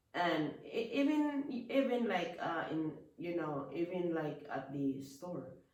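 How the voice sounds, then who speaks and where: Speaking with a Filipino accent, a woman uses a fairly low pitch and very wide pitch swings at a very slow pace. Audible room echo and noticeable background noise are present. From Philippines. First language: Filipino language. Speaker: businesswoman. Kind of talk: casual interview about life story. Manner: halting, with many restarts.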